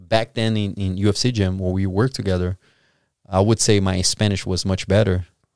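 In a very clean recording with a silent background and a dry, close sound with no echo, a man with a Brazilian accent speaks at a fairly quick pace and a fairly low pitch, his intonation monotone and flat. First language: Portuguese. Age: 30s. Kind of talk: casual interview chat. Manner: halting, searching for words.

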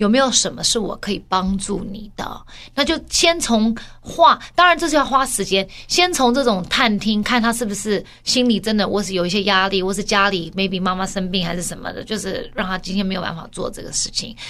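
Fairly quick speech from a woman at medium pitch, lively in intonation, with noticeable background noise. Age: 40s. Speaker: podcast co-host. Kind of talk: casual chat.

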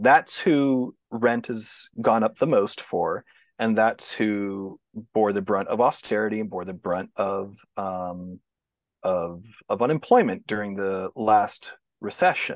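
A man with a Texan accent talks at a very slow pace, his pitch fairly low. The sound is dry and close with no echo, against a quiet background. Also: ordinary pitch variation. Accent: Texan American English. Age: 40s. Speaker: sociologist. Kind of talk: interview.

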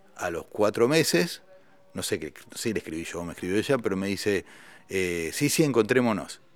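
A man speaks at a fairly low pitch and moderate pace. His intonation is lively. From Argentina. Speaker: musician and writer. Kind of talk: interview conversation.

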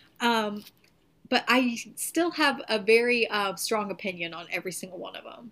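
This woman has a bright, sharp tone and a fairly high pitch, with a Southern US accent. The recording is very clean, with a silent background. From Tennessee. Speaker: podcast co-host. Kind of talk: casual chat.

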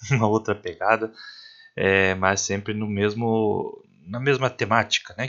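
Here a man speaks in an ordinary speaking voice at a moderate pace. His pitch is medium and his intonation fairly even. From Paraná, Brazil. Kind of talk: podcast intro.

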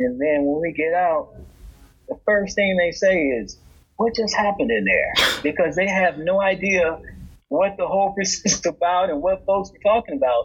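A high-pitched man with an American accent at a moderate pace, big swings in loudness, and noticeable background noise. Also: ordinary pitch variation. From Indiana. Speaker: criminal defense lawyer. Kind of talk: casual interview chat.

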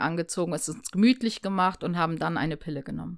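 A woman talks at a very fast pace with a medium pitch, in a very clean recording with a silent background. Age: 30s. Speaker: former drug user sharing her experience. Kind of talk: casual chat.

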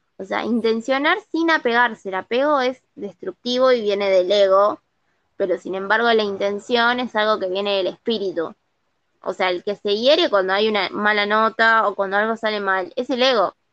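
A woman speaks at a moderate pace in a normal speaking voice, her pitch fairly high with ordinary variation. The sound is dry and close, with no echo. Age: 30s. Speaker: podcast co-host. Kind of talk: casual chat.

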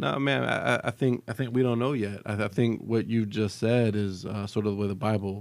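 The voice belongs to a man with a fairly low pitch. He has an ordinary speaking voice and a moderate pace. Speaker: church ministry co-host. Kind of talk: casual chat.

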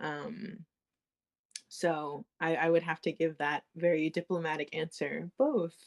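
A woman with an American accent and a plain, everyday voice speaks at a fairly slow pace in a fairly low pitch with ordinary pitch variation, in a dry, close sound with no echo. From United States. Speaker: podcast guest, daughter of a Sakha teacher. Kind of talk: casual interview chat.

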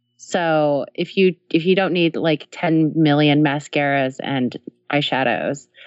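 Her pitch is very deep and low for a woman. The woman's pitch varies in an ordinary way. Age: 30s. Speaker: tech company co-founder, developer advocate. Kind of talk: interview.

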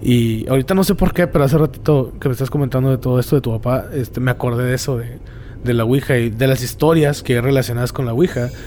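At a very fast pace, a man talks at medium pitch with fairly even intonation. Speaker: podcast host. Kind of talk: casual chat. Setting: cemetery.

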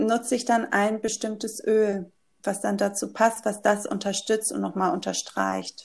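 Her pace is very slow. The woman's voice is fairly high, with fairly even intonation. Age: 30s. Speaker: yoga teacher and essential oil consultant. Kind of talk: casual interview.

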